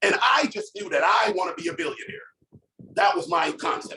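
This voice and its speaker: Animated in tone, a man speaks with very wide pitch swings. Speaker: entrepreneur. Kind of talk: motivational talk. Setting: conference call. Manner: fast.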